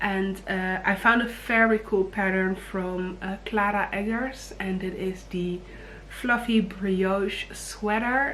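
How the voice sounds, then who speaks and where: Speaking very slowly with a Dutch accent, a woman at a medium pitch keeps a fairly even intonation amid audible room echo. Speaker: knitting vlogger. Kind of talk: casual vlog talk. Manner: hesitant, many fillers; low energy.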